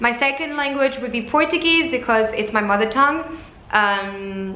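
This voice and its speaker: Lively intonation and a French accent mark this moderate-paced speech, heard with audible room echo and noticeable background noise. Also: woman, high pitch for a woman. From France, Paris suburbs. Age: 20s. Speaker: flight attendant vlogger. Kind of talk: casual vlog talk. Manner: halting.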